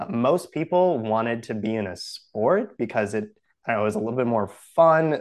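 A plain, everyday voice with an American accent moves at a moderate pace with lively intonation. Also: man, medium pitch for a man. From Wisconsin. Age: 20s. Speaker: coffee company founder and runner. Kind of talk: casual interview chat.

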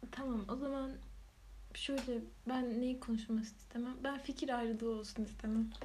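A soft-spoken woman whispers at a moderate pace with very even loudness. Audible room echo surrounds her voice. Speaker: podcast co-host. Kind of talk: casual chat. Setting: home recording. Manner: whispery, soft-spoken.

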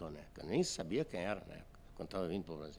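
A man at a fairly quick pace. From Azores, Portugal. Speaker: photographer. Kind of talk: casual interview chat.

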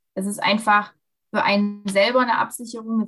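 With music in the background, a woman talks at a fairly quick pace with flat, monotone intonation. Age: 20s. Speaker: dual student and dressage rider. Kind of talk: interview. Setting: video call. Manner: frequent hesitations.

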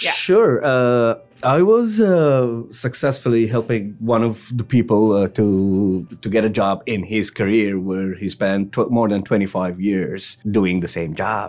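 A man's fairly low voice with an Arabic accent, very slow pace, hardly any pauses, and ordinary pitch variation. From Egypt. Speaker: settlement counselor. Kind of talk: interview. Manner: halting.

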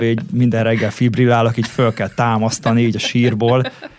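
The speech moves at a very fast pace with monotone, flat intonation. There is noticeable background noise. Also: man. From Hungary, Székesfehérvár. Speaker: DJ and music producer. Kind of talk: interview.

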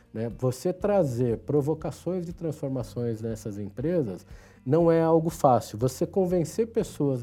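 On a very clean recording with a silent background, a man with a fairly high pitch speaks in a dark, mellow tone with lively intonation. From São Paulo, Brazil (Ipiranga). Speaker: IT executive. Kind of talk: interview. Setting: studio.

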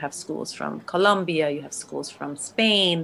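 This woman's voice sits very deep and low, with vocal fry. Her tone is bright and sharp. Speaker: podcast host. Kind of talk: interview with scripted intros.

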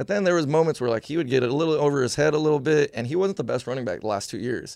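A man with an American accent, fairly high pitch and lively intonation, talking at a very fast pace against a quiet background. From US West Coast, San Jose area, California. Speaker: football coach. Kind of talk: casual sports chat interview. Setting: studio.

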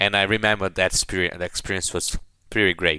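Speaking at a fairly quick pace with a Portuguese accent, a man has a very deep, low pitch and a bright, sharp tone, in a very clean recording with a silent background. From Brazil. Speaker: former student competitor. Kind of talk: casual chat. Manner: halting.

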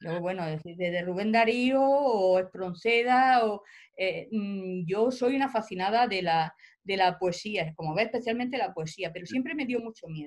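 A woman speaks fairly slowly at a medium pitch. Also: lively intonation. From Spain, Almería. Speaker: professor and writer. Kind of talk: interview. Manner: halting.

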